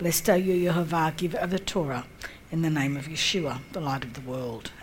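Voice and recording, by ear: Her pace is moderate and her intonation fairly even. The speaker is a woman with a low pitch.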